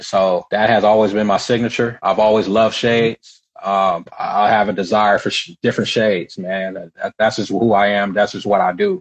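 Speaking at a moderate pace, a man with an American accent has a fairly low pitch and fairly even intonation. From Southern California. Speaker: entrepreneur. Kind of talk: podcast interview.

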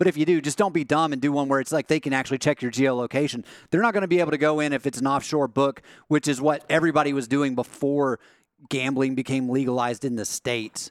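Speaking at a very fast pace with ordinary pitch variation, a man is heard in a very clean recording with a silent background and a dry, close sound without echo. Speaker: show producer. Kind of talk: casual sports talk.

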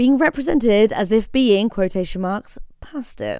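A woman talks with a British accent at a moderate pace. Her intonation is lively. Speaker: podcast host. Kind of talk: scripted introduction.

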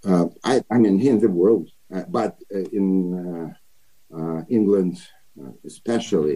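Long, frequent pauses break up a man's very slow delivery. His dark, mellow tone sits at a fairly low pitch with ordinary pitch variation. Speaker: actor. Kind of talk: interview. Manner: halting.

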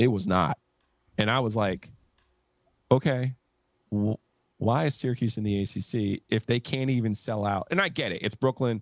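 A man speaks at a moderate pace and a medium pitch, with ordinary pitch variation and long, frequent pauses, in a dry, close sound with no echo on a very clean recording against a silent background. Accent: New Jersey. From New Jersey, near New York State border. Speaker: sports podcaster. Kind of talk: casual chat.

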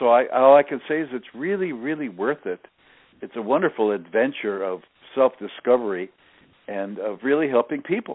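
A man with an American accent speaks at a medium pitch and a moderate pace, with lively intonation and big swings in loudness. He has a normal speaking voice. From US Northeast, New Jersey. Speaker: network marketing leader. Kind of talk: interview.

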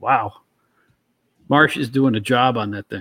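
In a very clean recording with a silent background and a dry, close sound with no echo, a man with a New York accent speaks at a moderate pace with ordinary pitch variation. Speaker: co-host, former wrestling magazine editor. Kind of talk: casual chat.

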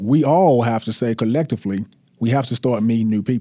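A man with a Mississippi accent talks at a fairly quick pace and medium pitch, his tone dark and mellow, on a very clean recording with a silent background and a dry, close sound with no echo. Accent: Southern US (Mississippi). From US South, North Mississippi. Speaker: real estate agent and former college football player. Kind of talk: interview. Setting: studio.

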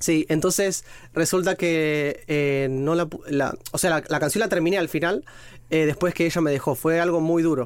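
An ordinary speaking voice from a man with a fairly high pitch, fairly even intonation, very even loudness, and a moderate pace, on a very clean recording with a silent background. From Argentina, Mar del Plata; partly raised in Rome. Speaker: podcast guest, single man. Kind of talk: casual chat.

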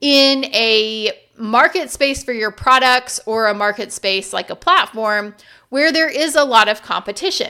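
Over a very clean recording with a silent background, a woman projects a raised, high-pitched voice with a bright, sharp tone, lively intonation and a fairly slow pace. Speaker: podcast host for online sellers. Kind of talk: solo podcast monologue. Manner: casual, off the cuff.

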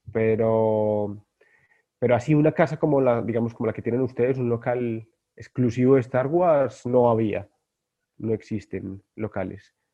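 This man talks at a fairly slow pace in a medium pitch, with ordinary pitch variation. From Colombia, Bogotá. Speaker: guest, Star Wars collector. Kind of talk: casual chat.

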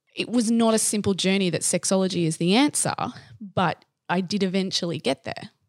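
With an Australian accent, a woman talks at a fairly quick pace with ordinary pitch variation, in a dry, close sound with no echo and a very clean recording with a silent background. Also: medium pitch for a woman. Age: 30s. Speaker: sexologist. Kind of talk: casual chat.

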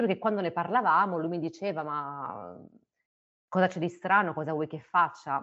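Fairly low-pitched speech from a woman. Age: 30s. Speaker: biomedical researcher. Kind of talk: personal testimony. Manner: halting, with fillers.

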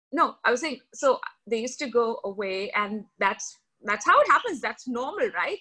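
Raising and projecting her voice, a woman speaks at a moderate pace with a high pitch, very wide pitch swings and a bright, sharp tone. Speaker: podcaster and filmmaker. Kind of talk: casual chat.

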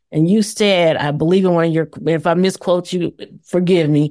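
A woman speaks in an ordinary speaking voice, fairly low in pitch. Her pace is moderate and her pitch varies in an ordinary way. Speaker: webinar moderator. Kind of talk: moderated panel discussion. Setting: webinar.

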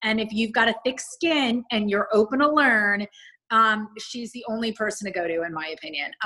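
A woman with an American accent speaks at a moderate pace, her fairly high voice bright and sharp in tone, with lively intonation. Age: 40s. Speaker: media personality. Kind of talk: interview.

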